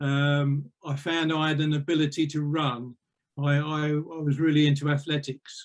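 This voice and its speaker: Speaking at a moderate pace with an Essex accent, a man with a fairly high pitch delivers his words in a monotone, flat intonation. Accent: southern English (Essex). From Essex, England. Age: 70s. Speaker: retired police officer and magistrate. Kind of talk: life story interview.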